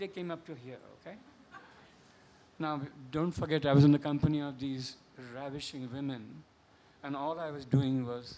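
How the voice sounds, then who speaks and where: A man with a Marathi accent, fairly high pitch, a dark, mellow tone, fairly even intonation and a moderate pace. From India, Bombay (Maharashtra). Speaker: novelist. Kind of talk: panel discussion. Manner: halting.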